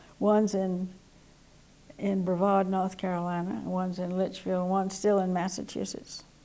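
With an American accent, a woman speaks at a moderate pace. Her tone is dark and mellow, her intonation monotone and flat. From US South, Georgia. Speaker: war veteran. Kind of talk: oral history interview. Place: studio.

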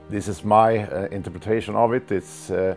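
Music plays in the background as a man speaks at a moderate pace, with a fairly low pitch and ordinary pitch variation. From Sweden. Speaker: martial arts grandmaster. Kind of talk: interview answer, reminiscing. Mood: warm, reminiscing. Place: home room. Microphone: lapel.

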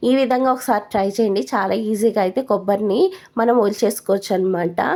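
A woman speaks at a fairly high pitch in a dark, mellow tone, with ordinary pitch variation. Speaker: lifestyle vlogger, homemaker. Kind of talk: vlog voice-over narration. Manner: halting, stumbling.

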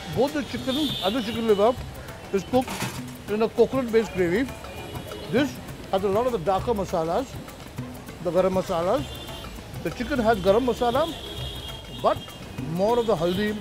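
A man talks at a fairly quick pace. Clear music plays in the background, and the sound is dry with no echo. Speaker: TV food show host. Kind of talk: presenter talk to camera and interview. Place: street. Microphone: lapel.

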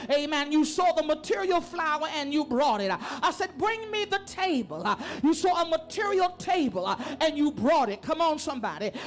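Light background noise sits behind a woman speaking at a moderate pace. Her high voice makes very wide pitch swings. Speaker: preacher. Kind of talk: sermon delivered to a congregation. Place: church. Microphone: handheld.

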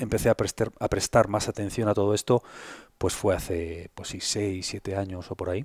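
The man's fairly low voice moves at a fairly quick pace with big swings in loudness, dry and echo-free against a quiet background. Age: 50s. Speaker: health content creator. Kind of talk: interview conversation. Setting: in person at host's home. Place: home room. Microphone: headset.

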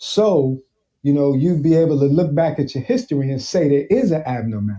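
A man with a New York accent and a dark, mellow tone, at a fairly quick pace. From Brooklyn, New York. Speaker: military veteran and cancer survivor. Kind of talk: casual interview.

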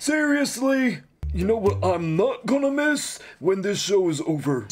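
A man puts on a cartoonish character voice, high in pitch, at a moderate pace. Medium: puppet show. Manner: sarcastic, then gleefully relieved.

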